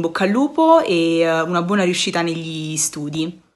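Ordinary pitch variation marks this woman's fairly low-pitched voice. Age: 20s. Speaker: former student, university student. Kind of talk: testimonial. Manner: halting, with fillers. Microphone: phone near.

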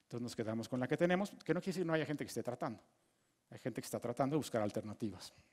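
A male speaker rattles along at a very fast speed with lively intonation while the background stays quiet. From Mexico. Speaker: physicist giving a lecture course. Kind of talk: lecture. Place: hall. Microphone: headset.

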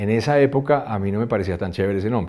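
A man's dark, mellow tone with ordinary pitch variation against a quiet background. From Colombia, raised in New York and Switzerland. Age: 50s. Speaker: music producer and songwriter; interviewee. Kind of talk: interview. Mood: reflective, animated. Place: studio.

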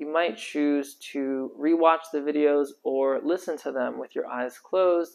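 The man speaks at a fairly slow pace. His intonation is fairly even. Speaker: tarot teacher. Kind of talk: lecture. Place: home room.

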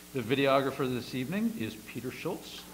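With an American accent, a man speaks at a very fast pace. Noticeable background noise is present. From US Northeast. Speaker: planning commission chairman. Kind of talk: public meeting chairing. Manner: formal. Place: meeting room.

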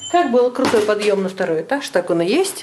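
The speech moves at a moderate pace. Light background noise sits underneath. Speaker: studio tour guide. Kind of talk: casual vlog chat. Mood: playful, joking. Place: hall. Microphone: phone near.

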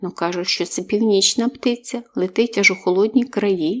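The clip features a natural reading voice, and its pitch varies in an ordinary way.

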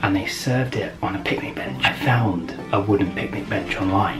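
With clear music in the background, a man talks at a moderate pace. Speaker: vlogger husband. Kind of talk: casual vlog chat. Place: home room. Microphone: camera far.

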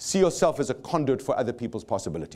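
With a South African accent, a man is talking. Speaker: motivational speaker. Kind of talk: live seminar talk. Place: stage. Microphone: lapel.

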